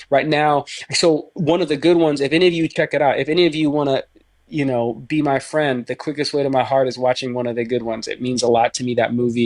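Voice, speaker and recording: A man of medium pitch at a fairly quick pace. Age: 30s. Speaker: actor and filmmaker. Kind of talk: casual chat. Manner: animated.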